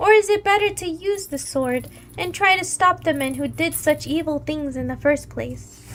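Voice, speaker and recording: A woman keeps a moderate pace while noticeable background noise plays behind her. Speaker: streamer reading a story aloud. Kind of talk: reading aloud mixed with casual chat to live viewers. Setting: live stream. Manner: animated.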